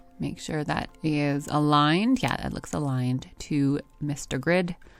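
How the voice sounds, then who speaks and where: A woman's very deep, low pitch with ordinary pitch variation, at a fairly slow pace. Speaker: graphic design tutor. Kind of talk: tutorial. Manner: casual, chatty.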